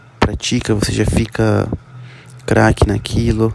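A man with a fairly low pitch speaks at a fairly slow pace against noticeable background noise. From interior of São Paulo, Brazil. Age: 20s. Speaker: business student. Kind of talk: student presentation. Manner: halting.

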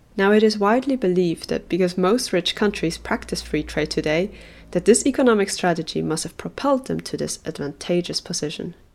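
The recording is very clean with a silent background. A woman of medium pitch speaks fairly quickly with lively intonation and vocal fry. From Switzerland, Basel. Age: 20s. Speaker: summer school student and designer. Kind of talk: scripted podcast presentation.

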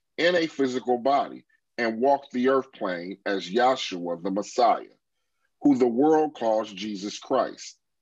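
At a fairly slow pace, a man with a medium pitch uses an ordinary speaking voice and lively intonation. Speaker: class moderator.

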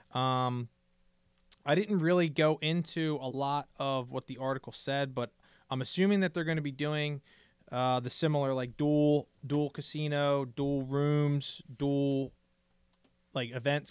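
A man speaks with a fairly high pitch and fairly even intonation, in a normal speaking voice. The recording is very clean, with a silent background. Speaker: poker podcast co-host. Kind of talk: casual chat. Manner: casual, jokey.

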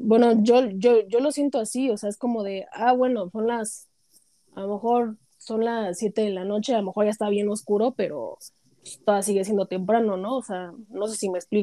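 A dark, mellow tone comes through at a moderate pace with fairly even intonation, the sound dry and close with no echo. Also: woman, fairly high pitch for a woman. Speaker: podcast panelist. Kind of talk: casual chat.

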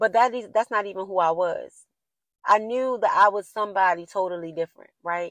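A woman at medium pitch talks in an ordinary speaking voice. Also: ordinary pitch variation, dry, close sound with no echo. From US, Baltimore inner city. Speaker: podcast host. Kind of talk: casual solo monologue, motivational.

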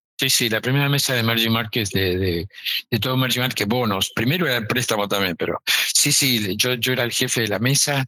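At a fairly quick pace, a man with a Rioplatense accent speaks at a medium pitch, with ordinary pitch variation and very even loudness. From Argentina, Buenos Aires. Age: 70s. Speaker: emerging markets finance executive. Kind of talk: interview.

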